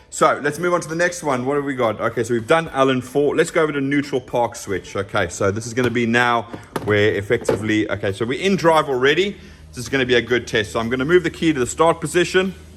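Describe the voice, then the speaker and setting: With noticeable background noise around him, a man speaks at a very fast pace. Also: medium pitch for a man, lively intonation. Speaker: automotive technician. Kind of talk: tutorial. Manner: loud; casual.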